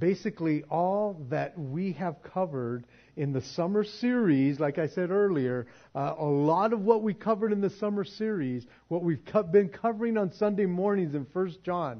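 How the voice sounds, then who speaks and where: A man's high-pitched, animated voice with lively intonation. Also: moderate pace. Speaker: pastor. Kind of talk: sermon.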